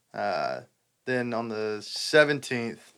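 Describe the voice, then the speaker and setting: A man talks with a Texan accent. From Southeast Texas. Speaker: country musician. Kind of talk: casual chat.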